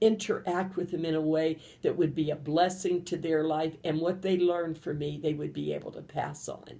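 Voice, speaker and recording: A woman with a western Pennsylvania accent speaks with hardly any pauses, in a fairly low pitch with vocal fry. Her tone is dark and mellow, her intonation monotone and flat. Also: moderate pace. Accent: western Pennsylvania American. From Pennsylvania, Johnstown. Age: 70s. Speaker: grandmother. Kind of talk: personal interview testimony.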